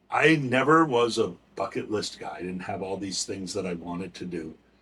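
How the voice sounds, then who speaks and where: In an American accent, this voice moves at a moderate pace with lively intonation. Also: man. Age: 60s. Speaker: nonprofit founder, recovery advocate. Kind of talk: podcast interview, personal story. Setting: museum, recorded interview.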